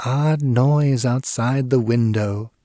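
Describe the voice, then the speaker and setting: Using a put-on character voice, a man talks at a fairly slow pace in a medium pitch, captured on a very clean recording with a silent background. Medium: read story. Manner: quiet, composed.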